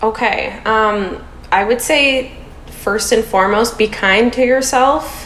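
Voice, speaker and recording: Amid noticeable background noise, a woman with a Canadian accent talks at a very slow pace in a fairly high pitch, her intonation fairly even and her loudness very even. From Canada, Toronto. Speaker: Montessori teacher, podcast guest in recovery. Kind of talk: casual interview.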